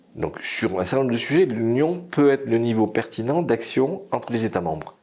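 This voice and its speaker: A man is speaking. His pace is fairly slow. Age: 60s. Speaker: energy consultant. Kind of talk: interview.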